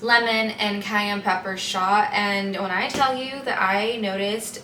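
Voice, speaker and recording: A woman speaks at medium pitch with fairly even intonation. Room echo is audible, and the background noise is noticeable. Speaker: lifestyle vlogger. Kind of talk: casual vlog talk to camera. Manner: soft-spoken, talking quietly.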